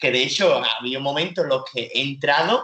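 An animated man with an Andalusian accent. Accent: peculiar Andalusian. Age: 20s. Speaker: comedian. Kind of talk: casual chat.

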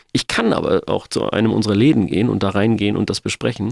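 The man's voice carries vocal fry. He talks very fast. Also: dry, close sound with no echo. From Germany, Sindelfingen area (Swabia). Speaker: funeral director and company founder. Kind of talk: interview. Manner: hesitant with many filler sounds.

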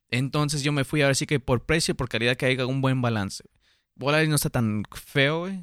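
A man talks at a fairly quick pace in a normal speaking voice, with big swings in loudness, ordinary pitch variation, and a dry, close sound with no echo. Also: fairly high pitch for a man, very clean recording, silent background. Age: 20s. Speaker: podcast host. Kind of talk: casual chat.

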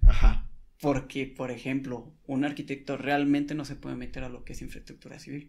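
Monotone, flat intonation from a man with a fairly high voice, at a moderate pace with big swings in loudness. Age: 20s. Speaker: podcast co-host. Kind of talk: casual chat.

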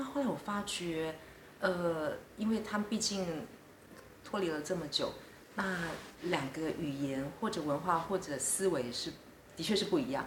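Amid noticeable background noise and audible room echo, a woman with a fairly low pitch speaks at a fairly slow pace with lively intonation and long, frequent pauses. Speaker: diplomat. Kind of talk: interview. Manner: hesitant with frequent fillers.

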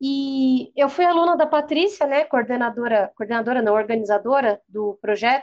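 A woman talks at a moderate pace with hardly any pauses. Her voice is high, with ordinary pitch variation. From Brazil, Santo André (ABC Paulista). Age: 20s. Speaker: journalist and photographer. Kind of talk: interview conversation.

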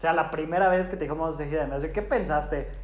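A man is speaking. There is audible room echo. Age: 20s. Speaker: podcast host. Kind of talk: casual chat.

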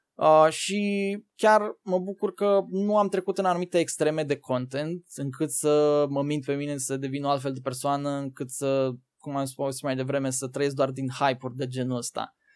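This is an unremarkable speaking voice with ordinary pitch variation, moving at a moderate pace. The recording is very clean, with a silent background. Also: man. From Romania, Bacău county (Moldavia). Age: 20s. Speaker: gaming content creator and streamer. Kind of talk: casual interview.

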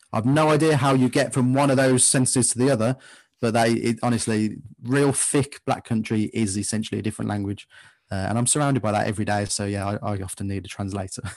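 A man with an English Midlands accent at medium pitch, very fast pace and ordinary pitch variation, over a quiet background. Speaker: football fan podcaster. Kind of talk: casual interview chat.

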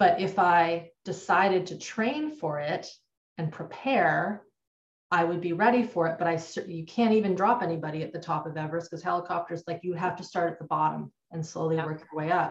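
A woman's somewhat breathy, fairly low voice in a Canadian accent, with fairly even intonation. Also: fairly quick pace. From Canada. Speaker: trauma and nervous system educator. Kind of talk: interview.

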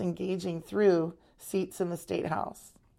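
In a General American accent, a woman speaks with a fairly low pitch and a dark, mellow tone. Her intonation is monotone and flat, and the recording is very clean with a silent background. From Arizona. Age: 50s. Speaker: realtor and council staff assistant. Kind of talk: interview.

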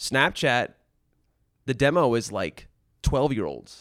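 A man with a medium-pitched voice and vocal fry is heard on a very clean recording with a silent background. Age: 30s. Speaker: former tech company studio lead. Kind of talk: casual chat.

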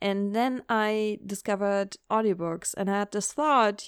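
Speaking at a fairly slow pace with a non-native accent and ordinary pitch variation, the voice has a dry, close sound with no echo on a very clean recording with a silent background. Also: woman. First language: not English. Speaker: book podcaster. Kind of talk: casual solo monologue. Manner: animated.

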